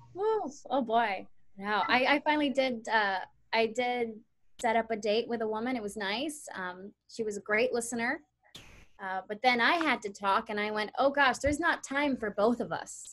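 Recorded very cleanly against a silent background, the voice moves at a moderate pace with ordinary pitch variation. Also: woman, fairly high pitch for a woman. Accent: American. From US, Nicaraguan heritage. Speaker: stand-up comedian. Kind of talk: stand-up.

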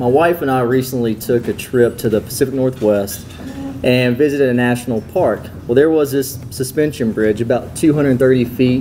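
Some light background noise is present. A man talks at a moderate pace, his pitch varying in an ordinary way. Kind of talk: welcome speech. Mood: warm, slightly hesitant. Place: hall. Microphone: podium.

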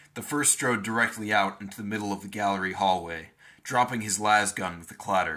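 The text is read plainly aloud, the intonation fairly even.

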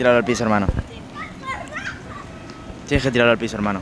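Faint background noise sits under a fast pace. The tone is fairly bright and the intonation fairly even. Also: man, medium pitch for a man.

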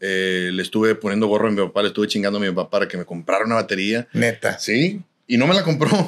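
Ordinary pitch variation runs through speech that moves along at a fairly quick pace. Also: man. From Nuevo León, Mexico. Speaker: norteño musician; podcast guest. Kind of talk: casual interview chat. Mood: relaxed, storytelling, joking. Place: studio. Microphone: studio mic.

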